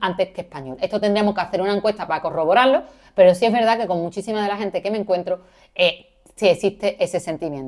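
A woman talks at a very fast pace with an Andalusian accent. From Andalusia, Seville. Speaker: podcast co-host, university lecturer in Arabic studies. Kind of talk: educational podcast chat.

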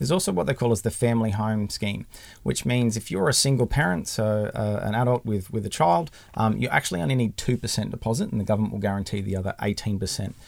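A man with an Australian accent at a medium pitch, speaking very fast with lively intonation. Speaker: mortgage broker. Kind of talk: casual interview.

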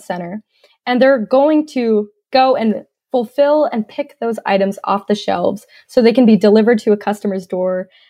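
In an American accent, a woman with fairly high pitch and ordinary pitch variation speaks in a plain, everyday voice. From US South, North Georgia. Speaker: tech startup CEO, industrial engineer. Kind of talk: interview.

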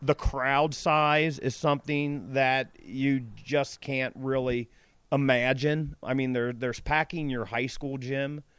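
A man speaks at a fairly slow pace with a Midwestern American accent, his pitch medium and his intonation fairly even. The recording is very clean, with a silent background. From Cincinnati, Ohio. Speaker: former high school wrestler. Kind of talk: interview. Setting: outdoors by a pool.

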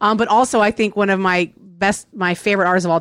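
Speaking in an American accent at a moderate pace, a woman with an unremarkable speaking voice and a medium pitch is heard in a very clean recording with a silent background. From Virginia. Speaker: podcast co-host. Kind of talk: casual chat.

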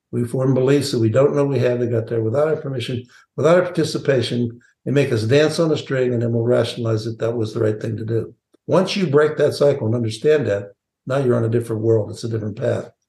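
Talking at a very fast pace, a man has a medium pitch with ordinary variation and a dark, mellow, somewhat breathy tone. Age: 70s. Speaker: sales training CEO and author. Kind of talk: podcast interview.

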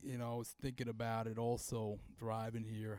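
In a very clean recording with a silent background, a man speaks at a moderate pace in an ordinary speaking voice of medium pitch. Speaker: podcast host and comedian. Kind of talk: casual banter between co-hosts. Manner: casual, profane.

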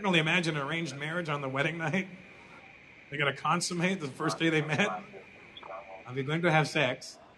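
Very fast speech broken by long, frequent pauses, with ordinary pitch variation and noticeable background noise. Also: man, fairly high pitch for a man. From North America.

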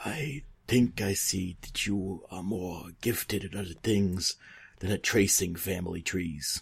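A man's put-on character voice in a Brooklyn accent, very deep and low, fairly slow, on a very clean recording with a silent background.

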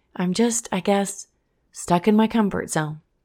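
At a fairly slow pace, a woman with medium pitch and a dark, mellow tone is heard on a very clean recording with a silent background. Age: 30s. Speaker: podcast host and former teacher. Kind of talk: casual motivational monologue. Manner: animated.

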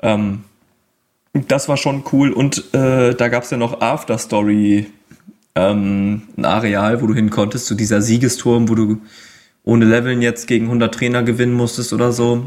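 Long, frequent pauses break up a man's speech, delivered with monotone, flat intonation. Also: medium pitch for a man, moderate pace. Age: 20s. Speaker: video game fan guest. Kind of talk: casual chat. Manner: hesitant, many filler sounds.

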